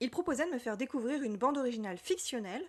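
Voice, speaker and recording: A high-pitched woman's voice with lively intonation at a fairly quick pace. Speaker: literature podcaster. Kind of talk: personal podcast monologue.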